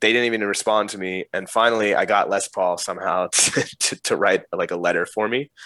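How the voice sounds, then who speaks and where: A man with a New Jersey accent at a fairly quick pace, in a dry, close sound with no echo. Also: hardly any pauses. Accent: New Jersey American. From US, northern New Jersey. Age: 30s. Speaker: music producer and DJ. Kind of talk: casual chat.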